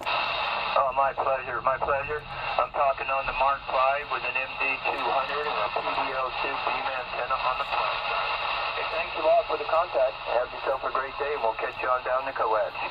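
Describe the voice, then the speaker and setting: There is loud noise in the background. The speaker talks at a moderate pace. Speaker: distant CB radio operator. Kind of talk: radio contact chat. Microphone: two way radio.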